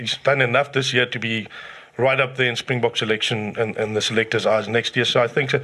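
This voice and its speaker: A man with a normal speaking voice talks at a medium pitch and a fairly quick pace. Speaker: rugby pundit, regular co-host. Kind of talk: casual sports chat.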